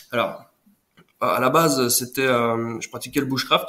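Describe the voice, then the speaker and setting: The man's fairly even intonation comes at a moderate pace. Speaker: nature photographer. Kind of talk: casual interview. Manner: halting, hesitant.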